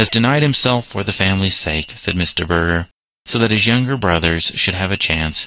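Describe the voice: Against a quiet background, the voice is plain reading aloud.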